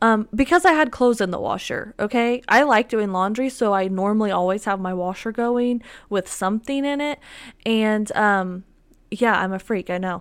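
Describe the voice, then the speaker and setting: On a very clean recording with a silent background, a woman with a fairly high pitch sounds animated, using ordinary pitch variation at a moderate pace. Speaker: podcaster. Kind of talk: casual solo chat. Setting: home dining table with microphone. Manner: animated, chatty, filler-heavy.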